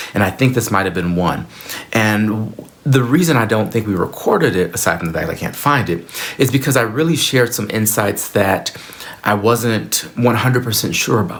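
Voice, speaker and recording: A man speaks at a fairly low pitch over noticeable background noise. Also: ordinary pitch variation, moderate pace. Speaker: spiritual teacher and former minister. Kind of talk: solo video talk to camera. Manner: halting, with frequent repetitions.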